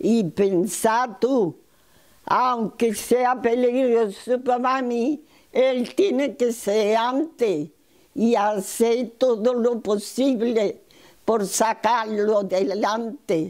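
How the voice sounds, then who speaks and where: A woman's fairly high voice at a very slow pace, very even in loudness, with ordinary pitch variation and a quiet background. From Málaga, Spain. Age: 80s+. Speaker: nurse and midwife. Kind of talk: interview answer.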